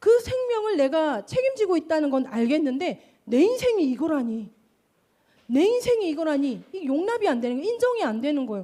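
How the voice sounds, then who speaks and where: Speaking at a fairly quick pace, a woman uses a high pitch and a dark, mellow tone with very wide pitch swings. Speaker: pastor. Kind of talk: sermon.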